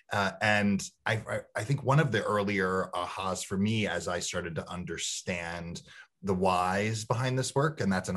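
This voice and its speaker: In a quiet background, a man speaks at a moderate pace. His fairly low voice has lively intonation. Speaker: diversity and inclusion consultant hosting a webinar; guest. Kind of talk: online interview conversation. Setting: video call. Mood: warm, smiling. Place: home room. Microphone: video call.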